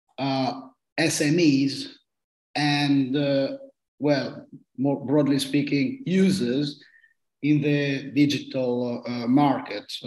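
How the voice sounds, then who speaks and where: With long, frequent pauses, a man speaks at a very slow pace with a fairly high pitch and fairly even intonation. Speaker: law professor. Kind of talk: meeting introduction. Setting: video call.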